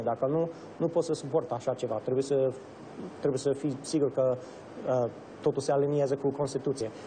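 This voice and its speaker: Somewhat breathy, with an English accent, the voice moves at a fairly quick pace with fairly even intonation. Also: man. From Romania (Bucharest), American family. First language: English (speaking Romanian). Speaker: state senator. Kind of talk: interview. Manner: halting.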